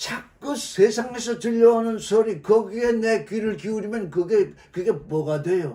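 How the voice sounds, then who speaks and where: Lively intonation runs through a man's high-pitched voice. His tone is animated. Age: 70s. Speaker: Bible teacher. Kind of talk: sermon. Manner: loud.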